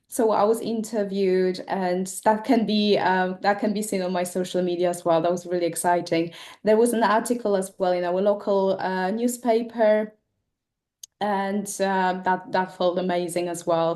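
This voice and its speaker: A woman with a non-native accent speaks with fairly even intonation against a quiet background. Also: medium pitch for a woman, moderate pace. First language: not English. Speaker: esthetician, competition winner. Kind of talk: casual chat. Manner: halting, many fillers.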